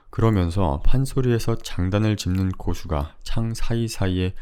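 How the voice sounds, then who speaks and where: A man's fairly low, dark, mellow voice with lively intonation at a fairly slow pace, in a very clean recording with a silent background. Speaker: audiobook narrator. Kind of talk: audiobook reading.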